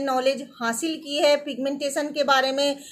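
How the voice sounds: A woman is talking. Her voice is pitched high.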